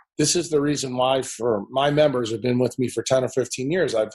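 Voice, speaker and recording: With an American accent, a man talks at a fairly quick pace in a fairly high pitch, keeping his intonation fairly even. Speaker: neurosurgeon and health speaker. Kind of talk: podcast interview. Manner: opinionated, forceful.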